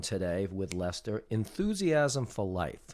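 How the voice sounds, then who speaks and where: At a fairly slow pace and medium pitch, a man speaks with lively intonation in an unremarkable speaking voice. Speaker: podcast host. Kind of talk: podcast interview questions.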